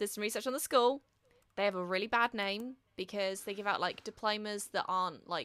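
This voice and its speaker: A woman with a British accent speaks at medium pitch in a bright, sharp tone, on a very clean recording with a silent background. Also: ordinary pitch variation, moderate pace. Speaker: artist and podcast host. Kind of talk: casual chat.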